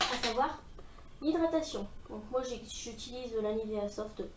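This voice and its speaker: Over noticeable background noise and audible room echo, a woman talks in a high pitch with lively intonation. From northern France. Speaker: beauty vlogger. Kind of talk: makeup tutorial. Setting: filming at home in front of mirror. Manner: casual, hesitant with fillers.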